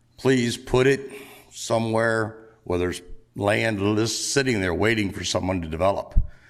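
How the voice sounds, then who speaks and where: There is noticeable background noise as a man speaks at a moderate pace. His pitch is medium, with ordinary variation. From Delaware. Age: 60s. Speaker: farmer speaking at public hearing. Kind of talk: public comment at hearing.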